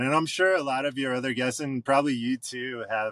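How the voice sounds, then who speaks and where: Heard in a dry, close sound with no echo, an unremarkable speaking voice moves with ordinary pitch variation. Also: man. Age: 30s. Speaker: rock band drummer. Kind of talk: casual chat. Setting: podcast interview.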